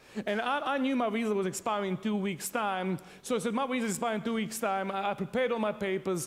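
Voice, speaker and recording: A man with a Serbian accent talks at a very fast pace in a high voice. His loudness stays very even, with ordinary pitch variation. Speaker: pastor. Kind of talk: sermon. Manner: animated.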